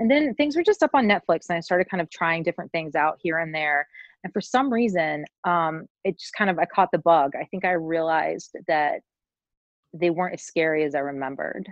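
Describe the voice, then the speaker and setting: A woman talks in an ordinary speaking voice at a fairly quick pace with ordinary pitch variation. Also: fairly low pitch for a woman. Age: 30s. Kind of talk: casual interview chat.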